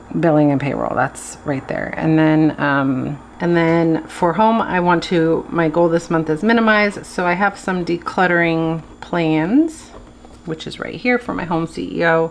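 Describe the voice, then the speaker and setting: A woman talks fairly slowly in an unremarkable speaking voice, fairly low in pitch with ordinary pitch variation. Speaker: planner video creator. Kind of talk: casual tutorial.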